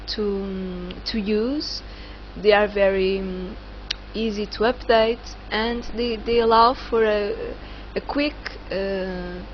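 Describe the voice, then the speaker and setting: Noticeable background noise fills the clip. Over it, a woman speaks very slowly. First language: not English. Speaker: online course instructor. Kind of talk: tutorial. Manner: halting, many fillers.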